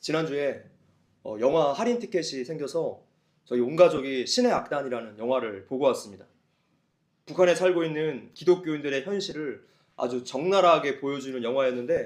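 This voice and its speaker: A man with a fairly high pitch and lively intonation speaks at a moderate pace in a normal speaking voice. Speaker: pastor. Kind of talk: sermon.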